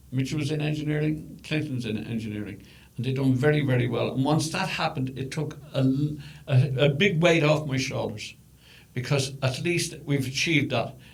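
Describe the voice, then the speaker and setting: A man with an Irish accent talks at a moderate pace, somewhat breathy, with ordinary pitch variation. His pitch sits fairly high, and the room echo is audible. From Ireland. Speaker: podcast host's father. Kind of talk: casual chat. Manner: halting, repeats words.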